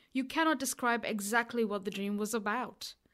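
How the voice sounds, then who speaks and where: Against a very clean recording with a silent background, a woman speaks at a fairly high pitch. Her pace is moderate, and she has an unremarkable speaking voice. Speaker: podcast host. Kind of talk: casual interview chat. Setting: small recording booth.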